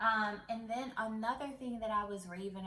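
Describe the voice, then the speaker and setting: Audible room echo surrounds speech with ordinary pitch variation. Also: woman. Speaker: beauty YouTuber. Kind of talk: product unboxing vlog.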